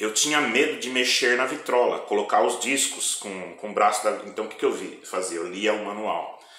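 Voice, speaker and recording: Delivered at a moderate pace, the speech carries audible room echo and noticeable background noise. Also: man. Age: 60s. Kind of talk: testimony.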